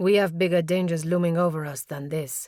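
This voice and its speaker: A woman uses a put-on character voice at a fairly low pitch. Her intonation is fairly even and her pace fairly quick. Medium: read story. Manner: calm, solemn.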